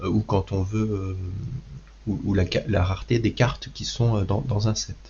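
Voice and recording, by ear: Using fairly even intonation, a man talks at a fairly slow pace with vocal fry, a fairly low pitch and a slightly mellow tone.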